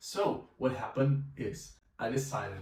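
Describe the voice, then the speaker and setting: A man speaks at a medium pitch with a Brazilian accent. Noticeable background noise and audible room echo fill the recording. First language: Portuguese. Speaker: language teacher and polyglot vlogger. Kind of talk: personal story vlog.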